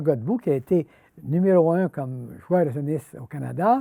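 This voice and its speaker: In a dry, close sound with no echo, a man with a fairly high pitch and a dark, mellow tone speaks at a fairly slow pace with ordinary pitch variation. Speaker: retired judge. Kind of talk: personal storytelling interview.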